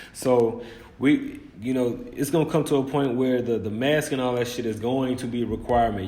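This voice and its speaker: Noticeable background noise sits under the voice, and the room echo can be heard. The intonation stays fairly even. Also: man. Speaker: religious commentator. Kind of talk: bible commentary on news. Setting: hot room. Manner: informal, emphatic; fast.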